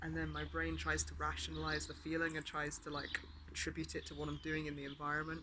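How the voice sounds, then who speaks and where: Very fast talk from a man, with noticeable background noise around him. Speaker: vlogger. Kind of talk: casual vlog monologue. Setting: outdoors. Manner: speaking louder than usual.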